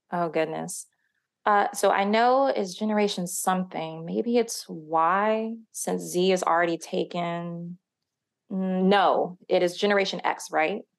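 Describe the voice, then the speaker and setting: A woman's normal speaking voice at medium pitch, with ordinary pitch variation, a fairly slow pace and a quiet background. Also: very even loudness. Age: 30s. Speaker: real estate research associate. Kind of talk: casual scripted podcast discussion.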